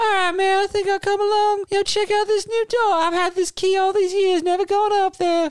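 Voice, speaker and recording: A man does a put-on character voice at an extremely high pitch, going fairly quickly with monotone, flat intonation and hardly any pauses. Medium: actual play. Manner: laid-back, dude-speak, earnest.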